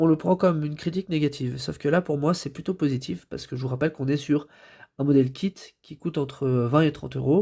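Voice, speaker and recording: A man's voice, fairly high in pitch, with a dark, mellow tone and fairly even intonation, on a very clean recording with a silent background. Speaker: toy reviewer. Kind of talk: product review. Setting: home recording, late at night. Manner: hesitant, many fillers.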